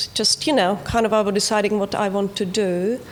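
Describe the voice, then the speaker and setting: A woman's medium-pitched voice with a Czech accent and fairly even intonation, over noticeable background noise. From Czechoslovakia. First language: Czech or Slovak. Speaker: TV producer. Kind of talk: panel discussion.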